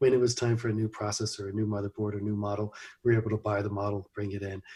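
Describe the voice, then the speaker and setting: Very fast, somewhat breathy speech in an American accent, monotone and flat, on a very clean recording with a silent background. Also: man. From US Midwest (Missouri, Ohio). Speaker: computer company founder. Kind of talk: interview. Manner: halting, many fillers.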